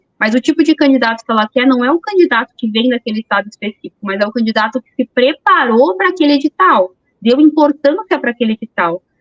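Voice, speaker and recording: Speaking very fast with hardly any pauses, a woman uses a high pitch, lively intonation and big swings in loudness. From São Paulo, Brazil. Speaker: police chief. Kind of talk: interview.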